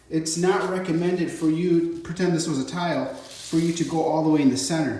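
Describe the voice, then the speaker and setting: Over noticeable background noise, a man talks at a fairly quick pace in a high pitch, his intonation fairly even. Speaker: DIY tile installer. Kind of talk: tutorial. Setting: on site in a bathroom.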